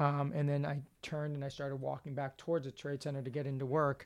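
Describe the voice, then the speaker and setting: In a very clean recording with a silent background, a man with a New York accent speaks fairly quickly at a fairly high pitch, his intonation monotone and flat. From New York City. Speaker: runner and nonprofit worker. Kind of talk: interview. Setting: in person in Boston. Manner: fast.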